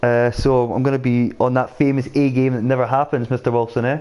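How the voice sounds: This man talks at a fairly quick pace, his medium pitch carried by a dark, mellow tone.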